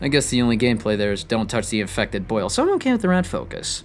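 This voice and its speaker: A man's voice over music in the background. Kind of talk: video essay narration. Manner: mumbling at times; natural speaking voice.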